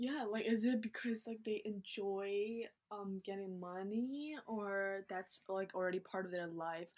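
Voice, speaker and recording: A woman speaks in an unremarkable speaking voice at a medium pitch. Her pace is fairly slow, with ordinary pitch variation. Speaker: YouTuber and student. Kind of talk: casual chat.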